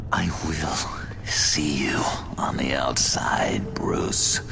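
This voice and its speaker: Whispering in a put-on character voice, a man goes at a very slow pace over loud background noise. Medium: game stream. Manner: sly.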